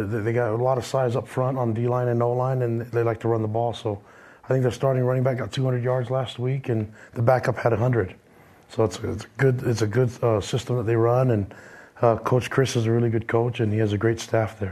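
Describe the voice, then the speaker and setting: A man talks at a fairly quick pace and a medium pitch with monotone, flat intonation. His somewhat breathy voice has a dark, mellow tone. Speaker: college football head coach. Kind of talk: casual interview. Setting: studio with live audience. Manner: halting, repeats words.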